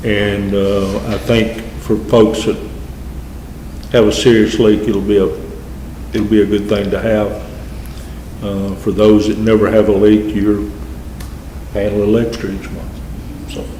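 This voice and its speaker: A fairly low-pitched man with a Southern US accent, fairly slow and fairly even in intonation, with long, frequent pauses, audible room echo and noticeable background noise. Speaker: mayor chairing city council. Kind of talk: council meeting presentation. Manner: halting, with fillers.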